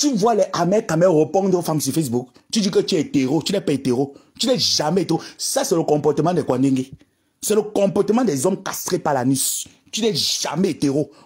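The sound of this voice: Fairly quick, lively intonation with a husky, rough edge and a slightly mellow tone. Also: woman.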